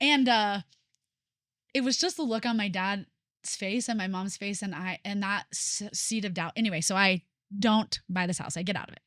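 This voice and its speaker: A woman with a normal speaking voice at a medium pitch and moderate pace, dry, close sound with no echo, on a very clean recording with a silent background. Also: ordinary pitch variation. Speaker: podcast host. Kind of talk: casual chat.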